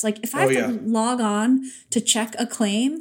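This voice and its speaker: This is a woman speaking with an American accent. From New York. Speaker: podcast co-host.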